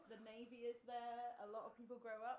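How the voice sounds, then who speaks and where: With audible room echo, a woman with a British accent and a fairly high pitch talks at a fairly quick pace. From England (Plymouth). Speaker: education company representative. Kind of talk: casual interview.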